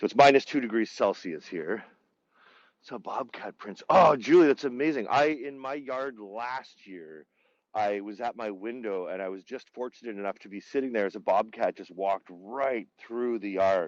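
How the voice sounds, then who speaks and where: A man's medium-pitched voice with lively intonation and big swings in loudness. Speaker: tour guide. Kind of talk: live virtual tour. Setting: outdoors. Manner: fast; casual, many fillers.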